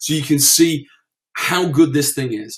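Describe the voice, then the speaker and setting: A man speaks at a moderate pace. His voice is fairly high-pitched and somewhat breathy. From UK. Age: 40s. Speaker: internet marketer. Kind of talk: webinar presentation. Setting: online webinar. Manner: halting, stammering.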